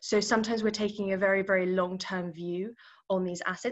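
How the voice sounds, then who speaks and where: Against a quiet background, a woman with a British accent talks at a fairly quick pace with fairly even intonation. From UK. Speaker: infrastructure investment professional. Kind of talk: career talk interview. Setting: video call. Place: office. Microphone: webcam.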